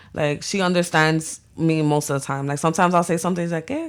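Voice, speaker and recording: A woman with a Spanish accent on a very clean recording against a silent background. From New York City, the Bronx, Dominican family. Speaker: visual artist and photographer. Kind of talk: casual interview chat. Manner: code-switching Spanglish.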